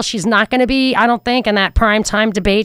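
Using an ordinary speaking voice, a woman talks with an American accent. Her pitch is fairly high and her pace fairly quick. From New York. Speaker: radio talk show host. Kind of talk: talk radio with callers. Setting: radio studio.

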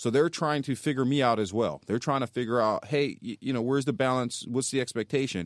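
A man with an American accent speaks in a normal speaking voice at medium pitch, with ordinary pitch variation and a fairly quick pace with hardly any pauses. The sound is dry and close with no echo, on a very clean recording with a silent background. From North Philadelphia, US. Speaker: county sheriff. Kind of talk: radio interview. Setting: radio studio.

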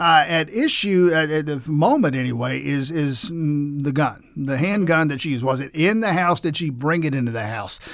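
At a moderate pace, a man with an ordinary speaking voice talks at a fairly high pitch with lively intonation. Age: 60s. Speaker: radio host. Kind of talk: radio interview.

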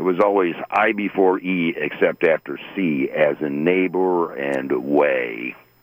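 A man speaks at a very slow pace yet with hardly any pauses, his pitch very deep and low with ordinary variation. Noticeable background noise runs underneath. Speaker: caller. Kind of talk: casual chat. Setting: phone call.

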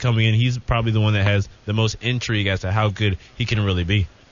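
A man with a fairly low, somewhat breathy voice speaks at a very fast pace with fairly even intonation. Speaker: sports reporter. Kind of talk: casual chat.

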